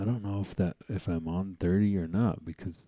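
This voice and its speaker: A man speaks with a very deep, low pitch and a dark, mellow tone. The recording is very clean with a silent background. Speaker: podcast host. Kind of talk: casual vlog commentary. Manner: unexcited, flat; halting with fillers.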